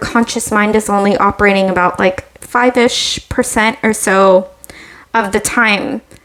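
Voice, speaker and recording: Noticeable background noise accompanies a woman talking at a moderate pace with fairly even intonation. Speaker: tarot reader. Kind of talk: tarot reading. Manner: hesitant, filler-heavy.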